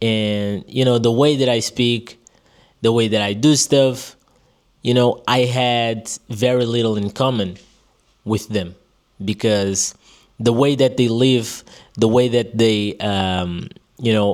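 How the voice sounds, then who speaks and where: Speaking very slowly with long, frequent pauses, a man keeps a fairly even intonation at a medium pitch. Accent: Portuguese. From Portugal. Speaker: vlogger. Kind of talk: personal monologue. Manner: casual, many fillers.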